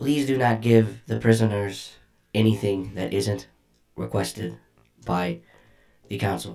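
A man puts on a robotic character voice, fairly low in pitch. He speaks fairly slowly with long, frequent pauses.

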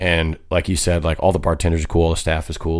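On a very clean recording with a silent background, a man with an American accent talks at a very fast pace in a very deep, low pitch and a monotone, flat intonation. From US Great Plains (Kansas). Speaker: country singer. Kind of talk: casual chat.

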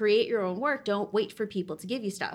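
The recording is very clean, with a silent background. Her pitch shows ordinary variation as the woman talks. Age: 30s. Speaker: actress and educator. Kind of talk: interview. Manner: halting.

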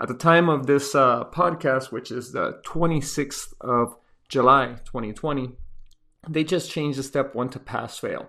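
Over a quiet background, a man talks at a fairly slow pace in a fairly high pitch, his tone bright and sharp and his pitch variation ordinary. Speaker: intensive care physician. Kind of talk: educational podcast monologue, casual advice. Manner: casual, conversational, humorous.

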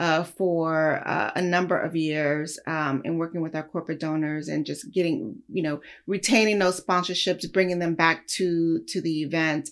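At a moderate pace, a woman with an ordinary speaking voice talks at a fairly low pitch with ordinary pitch variation. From Los Angeles, California. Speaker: music industry philanthropy executive. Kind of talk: interview. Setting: remote call from home.

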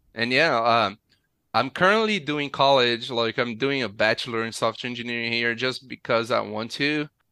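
On a very clean recording with a silent background, a man with a Portuguese accent speaks at a medium pitch and moderate pace, his tone bright and sharp and his intonation fairly even. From Brazil, state of Rio de Janeiro (Nova Friburgo). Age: 30s. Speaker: software engineer, former oil rig worker. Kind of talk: interview.

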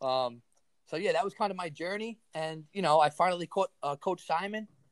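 An energetic man with an American accent talks at a fairly quick pace and ordinary pitch variation, in a dry, close sound with no echo. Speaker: strength coach. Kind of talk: casual chat.

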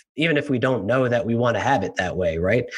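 A man's unremarkable speaking voice at a medium pitch, with lively intonation. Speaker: podcast host. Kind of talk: interview, conversational.

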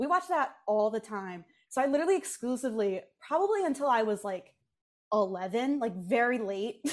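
In an animated tone, a woman talks at a fairly quick pace with a fairly high pitch and very wide pitch swings. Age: 20s. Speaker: pop culture content creator. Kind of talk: casual chat. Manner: animated, frequent fillers and laughter.

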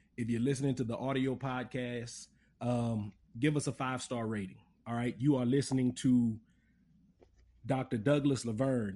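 A man's dark, mellow voice of medium pitch, in a Louisiana accent, with fairly even intonation at a moderate pace. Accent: southern US, Louisiana. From Lafayette, Louisiana. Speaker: podcast host. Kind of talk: interview.

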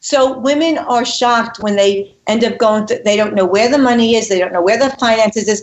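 With a New York accent, a woman speaks in a fairly high pitch at very even loudness, hardly pausing at all. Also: ordinary pitch variation, fairly quick pace. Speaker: relationship and communication expert. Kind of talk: interview. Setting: phone call. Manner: animated.

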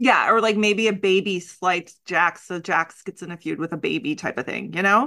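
With lively intonation and hardly any pauses, a woman talks at a moderate pace and medium pitch, showing vocal fry. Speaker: podcast co-host. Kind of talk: casual chat. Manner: joking, playful.

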